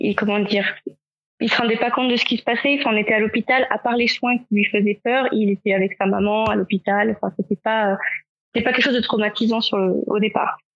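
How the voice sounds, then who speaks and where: A woman has a normal speaking voice, fairly high in pitch, with fairly even intonation and very even loudness. She talks at a fairly quick pace in a dry, close sound with no echo. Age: 30s. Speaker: comic book author and illustrator, parent of diabetic child. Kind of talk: podcast interview.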